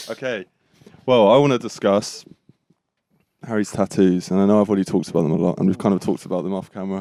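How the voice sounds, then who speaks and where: Speaking very fast with a British accent, a man uses long, frequent pauses, a fairly low pitch, ordinary pitch variation and a dark, mellow tone. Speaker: podcast host. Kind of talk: casual chat. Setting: caravan. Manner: loud.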